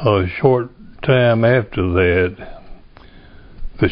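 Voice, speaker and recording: Ordinary pitch variation from a man speaking at a very slow pace. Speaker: war veteran. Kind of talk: interview answer.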